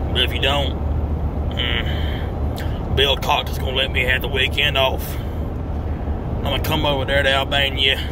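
Noticeable background noise runs under the recording. A man speaks at a fairly slow pace. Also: dry sound with no echo. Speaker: vlogger. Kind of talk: casual vlog chat. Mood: mock threatening, joking. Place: car. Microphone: phone near.

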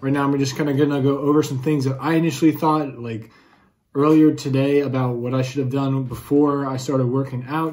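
The speech moves at a fairly quick pace in a monotone, flat intonation. The background is quiet. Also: man. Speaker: fitness vlogger. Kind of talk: casual vlog chat. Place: home room. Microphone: phone near.

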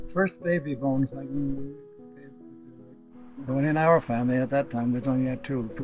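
Over clear music in the background, a man with a Newfoundland accent speaks at a moderate pace. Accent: Newfoundland and Labrador. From Labrador, Canada. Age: 80s+. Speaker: boat builder. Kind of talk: interview answer. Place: garden.

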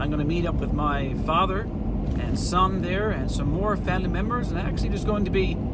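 A man at a fairly quick pace with hardly any pauses, dry sound with no echo, and loud background noise. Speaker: outdoors channel host. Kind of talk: casual vlog chat. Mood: upbeat, anticipating. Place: car. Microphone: phone near.

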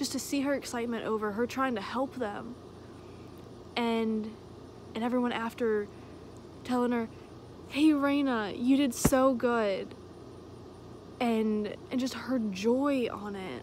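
Against noticeable background noise, a woman speaks at a fairly slow pace with fairly even intonation and long, frequent pauses, the sound dry with no echo. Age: 20s. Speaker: vlogger. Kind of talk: casual monologue. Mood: earnest, reflective, at times heated. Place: open country. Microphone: phone near.

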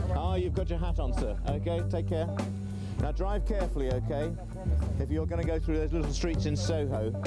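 Over loud background music, a man talks at a fairly quick pace, the sound dry with no echo. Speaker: TV presenter. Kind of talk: documentary presenter chat. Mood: jovial, teasing. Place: street. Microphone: handheld.

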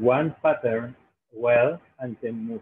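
A man with a Spanish accent talks at a very slow pace with lively intonation over light background noise. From Peru. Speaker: job interviewer. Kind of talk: mock job interview. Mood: friendly, encouraging. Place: home room. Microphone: video call.

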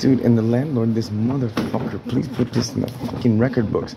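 Noticeable background noise sits under talk that proceeds at a moderate pace. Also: man. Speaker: tenant vlogger. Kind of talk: angry casual vlog rant. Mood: angry, agitated. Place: home room. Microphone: phone near.

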